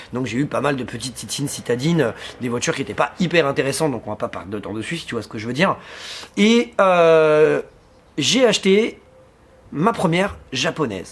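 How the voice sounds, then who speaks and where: The voice moves at a fairly quick pace with big swings in loudness, very wide pitch swings and long, frequent pauses. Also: man, fairly high pitch for a man. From Paris suburbs, France (Seine-Saint-Denis). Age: 30s. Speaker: car vlogger. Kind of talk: casual vlog talk to camera. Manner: casual, with frequent hesitations.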